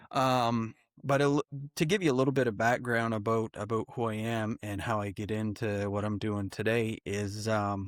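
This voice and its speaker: A man with a Maritime Canadian accent speaks at a medium pitch and a moderate pace with fairly even intonation, in a very clean recording with a silent background and a dry, close sound with no echo. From New Brunswick, Canada. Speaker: wildlife photographer and filmmaker. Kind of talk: casual podcast interview.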